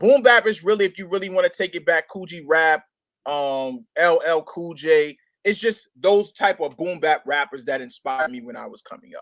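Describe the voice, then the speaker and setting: Recorded with a dry, close sound and no echo, a man speaks at a high pitch with lively intonation. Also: big swings in loudness. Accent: New York. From Brooklyn, New York. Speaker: hip-hop artist. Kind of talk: interview. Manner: halting, many fillers.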